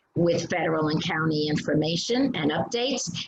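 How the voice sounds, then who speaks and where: With audible room echo, a woman speaks at a moderate pace using ordinary pitch variation. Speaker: community council leader hosting town hall. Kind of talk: formal introduction.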